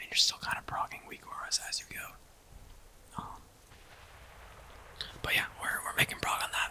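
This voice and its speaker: Someone whispers in a relaxed tone at a moderate pace amid noticeable background noise. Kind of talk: ASMR whisper-style talk to camera while gaming. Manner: whispered, soft-spoken, relaxed.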